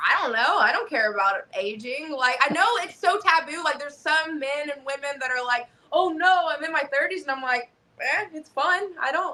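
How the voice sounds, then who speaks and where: In a raised, projected voice, a woman at high pitch speaks at a moderate pace with an animated tone. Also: lively intonation. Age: 30s. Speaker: professional wrestler. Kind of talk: interview.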